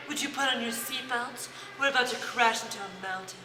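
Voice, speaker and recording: A female-sounding put-on character voice, breathy and high-pitched, moves at a fairly quick pace. Clear background noise runs underneath. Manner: seductive.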